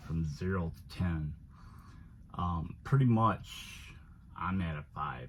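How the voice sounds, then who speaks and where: Very deep and low in pitch, a man's somewhat breathy voice moves at a very slow pace. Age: 60s. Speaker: van life vlogger and HVAC technician. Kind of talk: personal vlog monologue. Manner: halting, many fillers.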